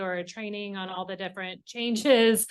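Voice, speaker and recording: A woman speaks at a moderate pace in a medium pitch with ordinary pitch variation. The background is quiet. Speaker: board attorney. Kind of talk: formal meeting remarks. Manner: loud.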